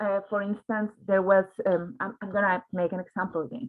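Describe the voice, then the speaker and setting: Speaking with a Spanish accent, a woman uses a medium pitch. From Mexico. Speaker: journalist. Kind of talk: panel discussion. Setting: online livestream. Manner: halting, many repetitions.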